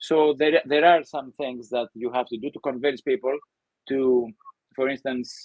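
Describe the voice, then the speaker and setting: A man with a Greek accent speaks in fairly even intonation, with big swings in loudness. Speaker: professor. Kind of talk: interview.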